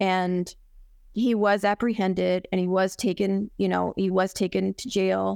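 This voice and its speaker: A woman with an American accent speaks at a fairly slow pace and medium pitch in a very clean recording with a silent background. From Arizona. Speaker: guest sharing family tragedy. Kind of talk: testimony. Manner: halting.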